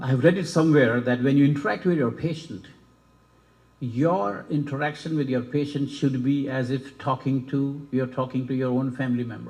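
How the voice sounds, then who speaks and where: The speaker talks at a moderate pace with fairly even intonation and a somewhat breathy quality. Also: man, medium pitch for a man. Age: 60s. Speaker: medical school dean / faculty. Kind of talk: ceremony speech.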